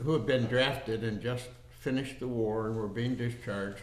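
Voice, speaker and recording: In a room with audible echo, a man with an American accent and medium pitch speaks in a monotone, flat intonation. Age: 80s+. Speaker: war veteran. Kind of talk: oral history interview.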